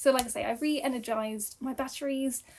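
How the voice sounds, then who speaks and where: A woman's high-pitched voice with a British accent. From UK. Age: 30s. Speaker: book reviewer. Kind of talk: casual chat. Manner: hesitant, many fillers.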